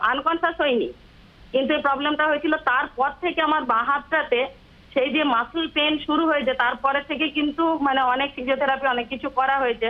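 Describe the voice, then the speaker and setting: A woman speaks with a high pitch and fairly even intonation. Her loudness stays very even throughout. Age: 50s. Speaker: TV viewer caller. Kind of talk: phone-in question. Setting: phone call.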